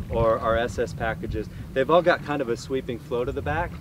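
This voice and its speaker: A man is heard in a dry recording with no echo. Loud background noise runs underneath. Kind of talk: product walkthrough conversation. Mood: enthusiastic, admiring. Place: waterside.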